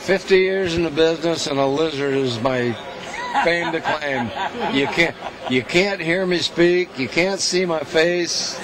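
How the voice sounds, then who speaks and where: A man talks at a fairly slow pace with crowd noise in the background. The sound is dry with no echo. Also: ordinary pitch variation. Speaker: actor. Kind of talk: interview answer. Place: hall. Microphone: handheld.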